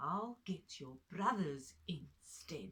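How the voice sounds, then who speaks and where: A female-sounding voice performs a put-on character voice. It is gruff, at a middle pitch. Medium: read story. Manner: gruff, blustering.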